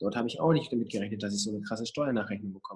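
A man's somewhat breathy, medium-pitched voice. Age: 20s. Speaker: mental coach. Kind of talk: casual interview. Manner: animated.

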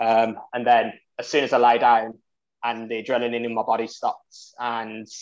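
The speaker talks at a moderate pace in a Birmingham accent. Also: man. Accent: Birmingham (Brummie) English. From Birmingham, England. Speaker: amateur ultra runner, charity fundraiser. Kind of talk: casual interview. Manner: hesitant, many fillers.

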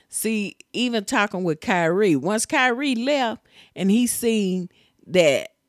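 A woman's voice makes very wide pitch swings. The recording is very clean with a silent background, and the sound is dry and close with no echo. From Tennessee. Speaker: host's mother. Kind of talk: casual chat.

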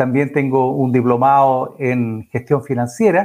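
A man with a medium pitch and ordinary pitch variation, using an unremarkable speaking voice. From Chile, Chillán. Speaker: accountant and council candidate. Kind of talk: radio interview.

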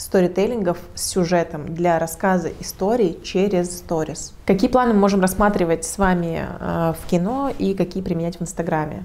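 Fairly slow, fairly even speech from a woman with a dark, mellow tone and audible room echo. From Russia, Protvino (Moscow region). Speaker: digital marketer and community organizer. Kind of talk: lecture.

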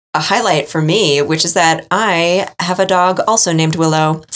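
With an American accent, a woman with an ordinary speaking voice and fairly low pitch talks at a moderate pace with fairly even intonation. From New England, US. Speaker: podcast host. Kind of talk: casual chat.

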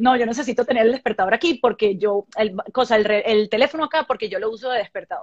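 The recording is dry and close with no echo as a woman with a fairly high pitch and ordinary pitch variation speaks at a very fast pace with hardly any pauses. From Venezuela. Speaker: actress and dancer. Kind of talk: casual interview on a live stream. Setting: video call live stream.

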